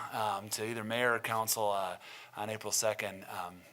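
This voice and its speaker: With an Upper Midwest accent, a man speaks at a fairly quick pace in a medium pitch, his tone bright and sharp. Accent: Upper Midwest American. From Milton, Wisconsin, US Midwest. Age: 30s. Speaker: city council candidate. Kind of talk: candidate forum statement. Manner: hesitant, many fillers.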